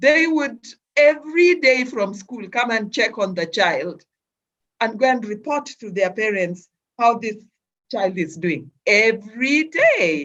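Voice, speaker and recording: A woman's fairly high voice at a fairly slow pace, full of very wide pitch swings. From Kenya. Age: 60s. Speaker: mother of heart surgery patient. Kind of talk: interview testimony. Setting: video call. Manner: halting.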